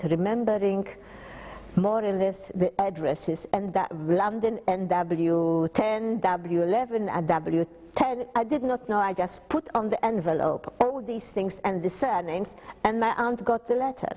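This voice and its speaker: Noticeable background noise sits behind a woman talking at a fairly slow pace. Her pitch is medium, with ordinary pitch variation. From Poland. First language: Polish. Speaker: Holocaust survivor. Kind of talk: testimony. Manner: halting.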